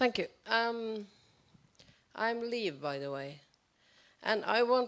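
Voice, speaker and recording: In a very clean recording with a silent background, a woman with a Norwegian accent speaks at a fairly slow pace, her pitch swinging very widely. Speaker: audience member. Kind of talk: audience question. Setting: public event with audience. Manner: halting.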